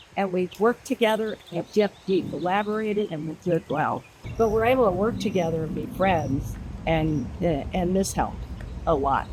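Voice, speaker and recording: Over noticeable background noise, a woman with an American accent speaks at a moderate pace, her fairly low pitch carrying lively intonation. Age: 70s. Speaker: advisory board member. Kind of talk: interview. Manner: halting.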